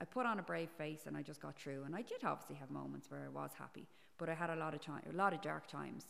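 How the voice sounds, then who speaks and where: The speaker has an Irish accent. The pace is very fast. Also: woman. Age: 40s. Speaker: podcast guest. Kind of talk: casual interview. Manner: halting.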